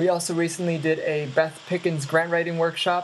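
A female speaker goes at a fairly quick pace with noticeable background noise. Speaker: previous guest calling in.

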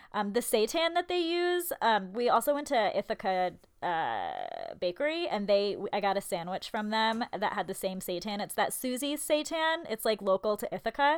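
A loud woman at a fairly high pitch, very wide pitch swings, a moderate pace and hardly any pauses, in a very clean recording with a silent background. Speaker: podcast co-host. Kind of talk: casual chat.

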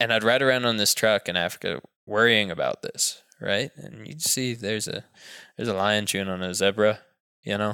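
With an American accent, a man speaks fairly quickly in a fairly low pitch and bright, sharp tone, recorded very cleanly with a silent background and a dry, close sound without echo. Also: ordinary pitch variation. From US South (Texas/Tennessee). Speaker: hunter and journalist. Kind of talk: casual interview.

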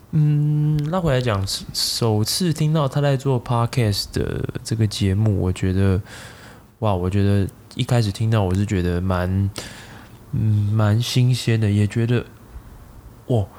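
With a dark, mellow tone at a medium pitch, a man speaks at a very slow pace with long, frequent pauses, lively intonation and very even loudness. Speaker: tech marketing product manager. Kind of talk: casual chat. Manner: animated.

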